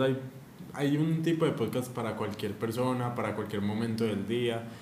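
A man's medium-pitched voice comes through with audible room echo and noticeable background noise. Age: 20s. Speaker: podcast co-host, university student. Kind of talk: casual chat.

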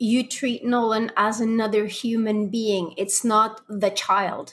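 At a very slow pace, a woman speaks with a fairly high, somewhat breathy voice. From Belgium. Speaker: podcast host and parenting coach. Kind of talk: casual interview chat.

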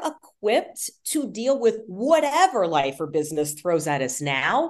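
A woman speaks very slowly with vocal fry and very wide pitch swings. The background is quiet. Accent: American. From Texas, Houston. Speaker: sports broadcaster and communication coach. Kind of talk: interview.

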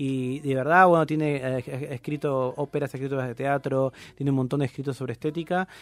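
A man with a normal speaking voice talks at a fairly high pitch and fairly quick pace, with fairly even intonation, hardly any pauses, and a dry, close sound with no echo. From Argentina, Campana (Buenos Aires province). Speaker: philosophy podcaster. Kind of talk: casual chat.

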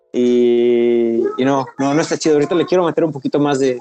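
A man speaks in a dark, mellow tone with fairly high pitch. His pace is moderate and his intonation fairly even. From Mexico, Veracruz (Pánuco). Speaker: ultramarathon runner. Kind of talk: casual interview.

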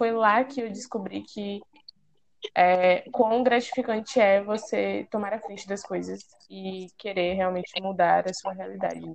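With an unremarkable speaking voice, a woman speaks at a medium pitch with fairly even intonation. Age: 20s. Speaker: student, junior enterprise president. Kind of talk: casual chat.

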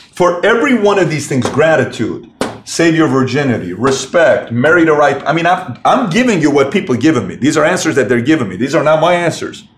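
With an animated tone and lively intonation, a man with a fairly high pitch speaks at a fairly quick pace in a room with audible echo. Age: 30s. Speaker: podcast host and entrepreneur. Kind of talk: solo motivational monologue. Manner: animated, repetitive emphasis.

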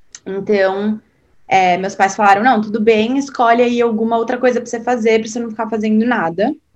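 This woman has an unremarkable speaking voice, fairly high in pitch and fairly even in intonation. She talks at a fairly quick pace. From Brazil, São Paulo. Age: 20s. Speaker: podcast guest sharing personal story. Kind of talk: casual interview.

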